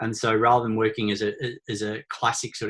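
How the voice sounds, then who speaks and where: A man with an Australian accent talks at a very fast pace. His fairly low voice has monotone, flat intonation. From Australia, small country town. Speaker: author and leadership consultant. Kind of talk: webinar presentation. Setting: online webinar. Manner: hesitant, many fillers and repeated words.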